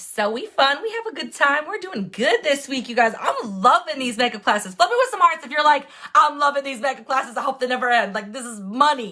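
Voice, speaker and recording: A high-pitched woman's raised, projected voice with an American accent, very wide pitch swings, big swings in loudness, a fairly quick pace and hardly any pauses, over noticeable background noise. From Wisconsin. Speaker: makeup tutorial livestreamer. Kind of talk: live makeup tutorial. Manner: fast; animated.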